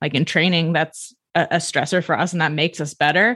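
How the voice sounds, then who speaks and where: In a very clean recording with a silent background, a woman with an American accent speaks at a moderate pace in a fairly low pitch, her tone bright and sharp and her intonation fairly even. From United States. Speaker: sports neuroscientist. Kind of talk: interview.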